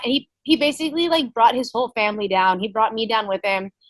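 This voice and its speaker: This voice has a bright, sharp tone and an American accent, with ordinary pitch variation over a quiet background. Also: woman. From Texas, Ingleside. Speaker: MMA fighter. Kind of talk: interview testimony.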